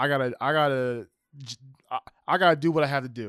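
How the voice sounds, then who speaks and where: A man with a normal speaking voice talks at a fairly high pitch with ordinary pitch variation. The very clean recording has a silent background and a dry, close sound with no echo. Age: 30s. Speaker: podcast host. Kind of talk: casual conversation.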